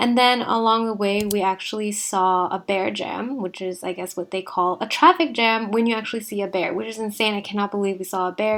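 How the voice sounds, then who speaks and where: At a fairly quick pace, a woman is talking. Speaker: travel vlogger. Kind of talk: casual travel vlog voiceover. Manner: a little sarcastic.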